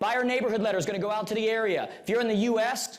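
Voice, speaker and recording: A man's high-pitched, animated voice, with audible room echo and noticeable background noise. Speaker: real estate coach. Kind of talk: seminar presentation. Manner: fast.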